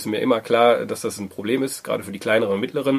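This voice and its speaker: A man's voice with noticeable background noise. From Germany, Wuppertal. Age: 30s. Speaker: co-founder of a social impact hub. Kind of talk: interview.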